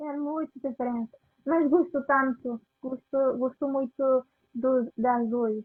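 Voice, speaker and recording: Speaking very slowly with a Spanish accent, a woman keeps a high pitch and fairly even intonation. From Venezuela. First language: Spanish (speaking Portuguese). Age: 20s. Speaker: immigrant interviewee. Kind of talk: casual interview. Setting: live video call. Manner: halting.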